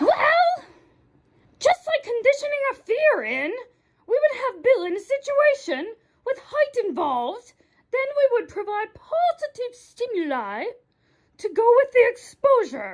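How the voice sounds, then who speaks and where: Using a put-on character voice at an extremely high pitch, a woman makes very wide pitch swings while speaking at a fairly slow pace with long, frequent pauses. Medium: comedy sketch.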